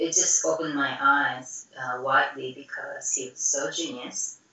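A woman talks at a very slow pace with a very deep, low pitch. Room echo is audible. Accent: Japanese. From Japan. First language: Japanese. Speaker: professional dancer. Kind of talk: interview. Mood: warm, reminiscing. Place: home room. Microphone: video call.

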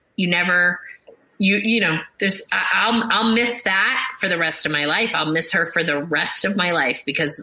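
A woman with an American accent at a fairly low pitch, over noticeable background noise. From US Northeast, Boston. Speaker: psychotherapist. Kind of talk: interview about grief.

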